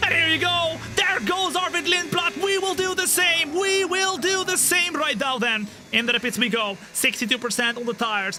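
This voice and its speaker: A man's raised, projected voice at an extremely high pitch, with very wide pitch swings and music in the background. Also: moderate pace. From Netherlands. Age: 20s. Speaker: gaming streamer. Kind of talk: live gameplay commentary. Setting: studio. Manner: animated.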